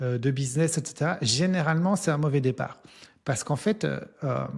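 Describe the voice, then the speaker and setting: A man talks at a moderate pace in a fairly high, somewhat breathy voice. His pitch varies in an ordinary way. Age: 40s. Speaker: entrepreneur and business coach, author. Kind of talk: interview. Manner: hesitant, many fillers.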